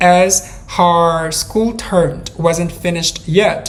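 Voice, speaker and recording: Amid noticeable background noise and audible room echo, a woman speaks very slowly at a fairly low pitch. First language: not English. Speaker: true crime podcaster. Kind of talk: storytelling narration. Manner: hesitant, with fillers.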